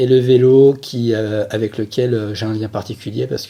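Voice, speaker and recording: At a fairly slow pace, a man speaks in a somewhat breathy, dark, mellow voice at medium pitch with fairly even intonation. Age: 40s. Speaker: sports physiotherapist, former pro cyclist. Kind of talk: podcast interview. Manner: hesitant, many fillers.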